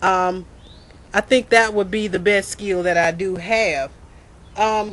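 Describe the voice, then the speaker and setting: The speech comes at a very slow pace in a Mississippi accent. Intonation stays fairly even. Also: woman, medium pitch for a woman. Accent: US Southern, Mississippi. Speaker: student. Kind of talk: self-introduction video. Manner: loud, clear pronunciation; halting, repeats words.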